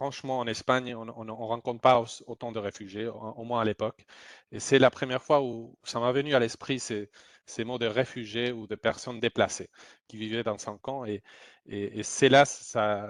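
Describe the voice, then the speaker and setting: A man with a Spanish accent speaks fairly slowly in a flat monotone with big swings in loudness, the sound dry and close with no echo against a quiet background. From Spain. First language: Spanish (speaking French). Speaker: humanitarian aid worker. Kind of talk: testimony. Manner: halting, many repetitions.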